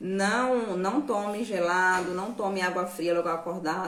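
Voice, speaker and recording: Room echo is audible as a woman speaks at a fairly slow pace. Noticeable background noise runs underneath. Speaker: nutrition and herbal health educator. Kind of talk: live stream Q&A talk. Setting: live stream.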